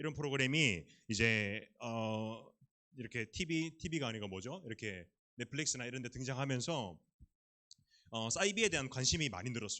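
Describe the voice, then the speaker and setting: A man speaks at a medium pitch with lively intonation. He leaves long, frequent pauses. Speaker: youth pastor. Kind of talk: sermon. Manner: fast.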